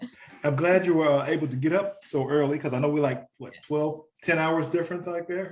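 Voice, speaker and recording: A man with an American accent speaks fairly quickly in a normal speaking voice, his pitch fairly high. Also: fairly even intonation. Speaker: podcast host. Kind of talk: podcast interview host.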